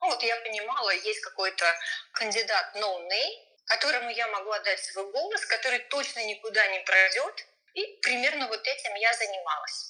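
A plain, everyday voice with lively intonation. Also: woman, fairly high pitch for a woman, moderate pace. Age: 40s. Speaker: voter sharing experience. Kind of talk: personal testimony interview.

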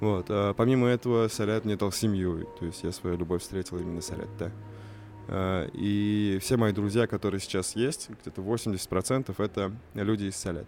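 Speaking fairly slowly with fairly even intonation, a man uses a plain, everyday voice at a fairly low pitch. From Russia, Kazan (Tatar). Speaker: youth project manager and poet. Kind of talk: casual chat.

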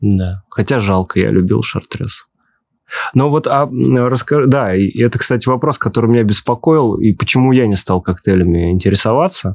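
A man with an ordinary speaking voice talks at a moderate pace and medium pitch. His intonation is lively, and the sound is dry and close with no echo. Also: very even loudness. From Ulyanovsk, Russia. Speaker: podcast host. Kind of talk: casual interview conversation.

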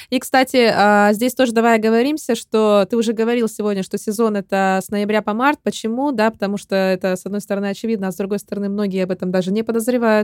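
A woman speaks at a very fast pace with hardly any pauses, her pitch fairly high. The recording is dry and close, without echo. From Russia. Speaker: podcast host. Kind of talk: interview. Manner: animated.

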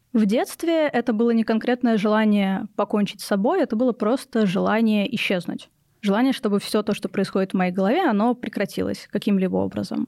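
On a very clean recording with a silent background and a dry, close sound with no echo, a woman speaks at a fairly quick pace in a dark, mellow tone, fairly high in pitch with ordinary pitch variation and very even loudness. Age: 20s. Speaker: psychology student and mental health activist. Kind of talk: personal testimony in interview. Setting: studio.

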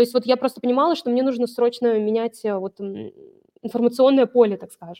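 Speaking at a fairly quick pace, a woman with a high pitch and a dark, mellow tone keeps her intonation fairly even while her loudness swings widely, in a dry, close sound with no echo. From Vologda, northern Russia. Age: 30s. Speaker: online seller and brand owner. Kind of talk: business case review interview.

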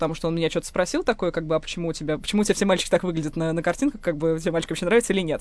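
A woman's fairly low voice at a very fast pace, ordinary pitch variation, against a quiet background. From Moscow. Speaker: linguist and writer. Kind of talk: personal testimony.

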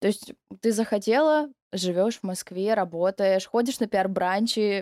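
The voice has a dark, mellow tone with ordinary pitch variation. The sound is dry and close, with no echo. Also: woman. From Novorossiysk, southern Russia. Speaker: podcast host. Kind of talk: casual interview chat.

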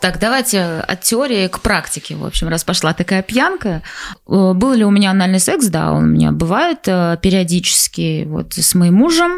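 Noticeable background noise sits behind a woman speaking at medium pitch. Her intonation is lively and her pace is moderate. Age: 20s. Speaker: podcast co-host. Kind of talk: casual chat.

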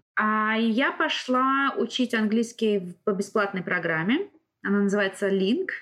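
With an unremarkable speaking voice, a woman talks at a fairly high pitch with lively intonation and very even loudness. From Russia. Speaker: driving instructor. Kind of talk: casual interview.

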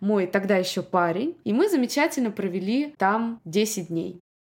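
A woman talks in a normal speaking voice with lively intonation. Her pace is moderate. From Russia, Moscow. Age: 30s. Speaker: podcast host, immigrant mother. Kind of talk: solo podcast monologue.

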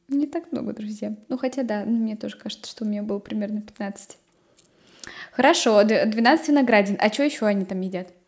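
Somewhat breathy and fairly high, a woman's voice keeps a moderate pace with ordinary pitch variation. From Nizhny Novgorod region, Russia. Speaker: podcast host. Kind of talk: casual chat.

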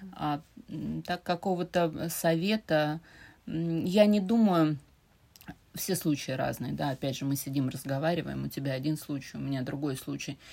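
A woman with a very deep, low voice and a dark, mellow tone speaks at a moderate pace in a St Petersburg accent. Her pitch varies in an ordinary way, with long, frequent pauses. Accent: Russian (St Petersburg). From Russia, St Petersburg. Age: 40s. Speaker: podcast guest, host's mother. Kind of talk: casual chat.

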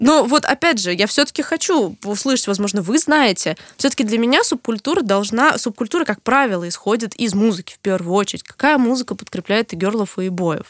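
A woman with an unremarkable speaking voice, pitched fairly high, uses lively intonation. The sound is dry and close, with no echo. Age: 20s. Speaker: podcast co-host. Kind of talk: casual chat.

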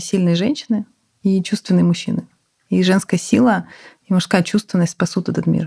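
Speaking at a moderate pace with long, frequent pauses, a woman with a medium pitch sounds somewhat breathy, keeping her intonation fairly even and her loudness very even. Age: 30s. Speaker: healthcare company CEO. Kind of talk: interview conversation.

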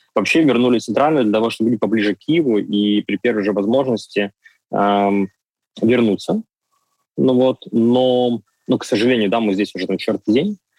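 The speaker keeps a moderate pace and very even loudness, with ordinary pitch variation and long, frequent pauses. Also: man, medium pitch for a man. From Ukraine, Donetsk. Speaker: cafe chain owner. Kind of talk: interview. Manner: hesitant, filler sounds.

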